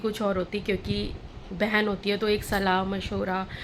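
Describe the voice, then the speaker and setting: A fairly slow delivery against noticeable background noise. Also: woman. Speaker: vlogger. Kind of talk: casual vlog talk to camera.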